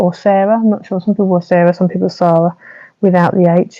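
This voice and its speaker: Soft-spoken, a woman talks with a British accent. Her intonation stays fairly even. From UK. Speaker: card making tutor. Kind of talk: livestream craft tutorial. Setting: home livestream at night. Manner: casual. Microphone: new clip-on microphone.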